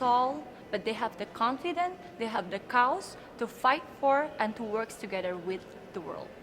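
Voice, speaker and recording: With an Indonesian accent, a woman speaks at a moderate pace and fairly high pitch, her voice making very wide pitch swings over noticeable background noise. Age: 20s. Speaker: beauty pageant contestant. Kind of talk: interview.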